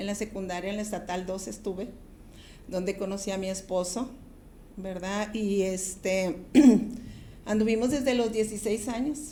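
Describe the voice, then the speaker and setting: With audible room echo around her, a woman of medium pitch and a dark, mellow tone speaks in fairly even intonation, leaving long, frequent pauses. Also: fairly slow pace. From Ciudad Juárez, Mexico (border). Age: 60s. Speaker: pastor. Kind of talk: testimony.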